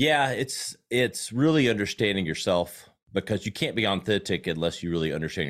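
In a Southern US accent, the speech runs at a fairly quick pace with hardly any pauses and lively intonation, on a very clean recording with a silent background. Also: man. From South Carolina. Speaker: marketing expert and agency owner. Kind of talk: casual interview.

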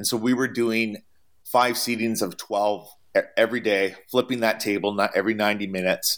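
A man with a Canadian accent and a medium pitch speaks at a fairly quick pace in a monotone, flat intonation, on a very clean recording with a silent background. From Canada. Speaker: traveling chef. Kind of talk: interview.

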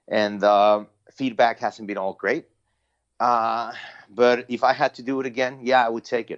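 A man with a Spanish accent and fairly even intonation, in a dry, close sound with no echo and a quiet background. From Mexico City, Mexico. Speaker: Spanish-language sports play-by-play announcer. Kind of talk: interview.

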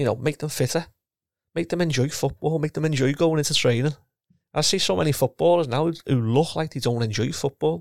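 Fairly high-pitched man at a fairly quick pace, in a dry, close sound with no echo. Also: ordinary pitch variation. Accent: Liverpool. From Liverpool, England. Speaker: retired professional footballer and coach. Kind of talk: casual interview.

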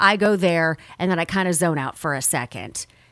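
In a very clean recording with a silent background, a woman uses a normal speaking voice at medium pitch with ordinary pitch variation. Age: 40s. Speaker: podcast host, former radio personality. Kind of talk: personal monologue podcast.

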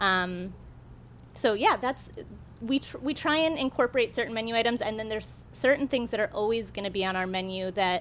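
A woman with a plain, everyday voice speaks at a fairly high pitch and a fairly quick pace with ordinary pitch variation. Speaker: cafe owner. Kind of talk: live panel interview. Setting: stage with live audience.

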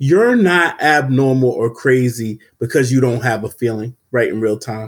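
A man speaks in a normal speaking voice at a medium pitch, with ordinary pitch variation. The recording is very clean, with a silent background. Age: 30s. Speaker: mental health professional, podcast host. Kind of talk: casual discussion podcast.

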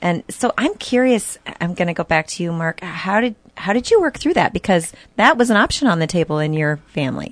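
A woman with an American accent speaks at a fairly quick pace in a medium pitch, her voice swinging very widely in pitch, with a dry, close sound and no echo. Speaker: radio talk show co-host. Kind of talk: casual radio talk show chat and interview. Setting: radio studio. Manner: animated.

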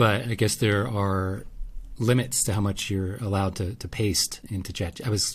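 A man's somewhat breathy voice comes through on a very clean recording against a silent background. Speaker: podcast co-host, photographer. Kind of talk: casual chat.

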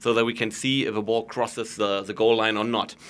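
A man's medium-pitched voice with a German accent, bright and sharp in tone, at a fairly quick pace, in a very clean recording with a silent background. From Germany. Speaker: goal-line technology executive. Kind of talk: interview.

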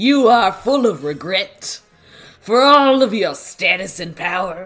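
A put-on character voice at a middle pitch and fairly slow pace, with faint music in the background. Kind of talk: casual podcast read-aloud of manga dialogue. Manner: mocking, taunting.

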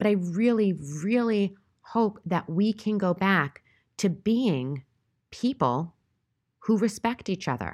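A woman speaks very slowly at a medium pitch with lively intonation, very even loudness, and long, frequent pauses, on a very clean recording with a silent background. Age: 40s. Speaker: podcast host. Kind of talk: solo monologue commentary.

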